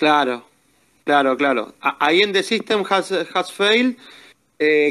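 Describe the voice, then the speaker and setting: A man's high pitch and Rioplatense accent at a fairly slow pace. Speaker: metal fan. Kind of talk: casual chat. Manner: halting, frequent repetitions.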